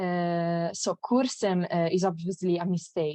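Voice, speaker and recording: A woman's very slow speech, dark and mellow in tone, with a dry, close sound and no echo. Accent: Italian. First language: Italian. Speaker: graduate student presenter. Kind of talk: conference talk. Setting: online conference. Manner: halting, many fillers.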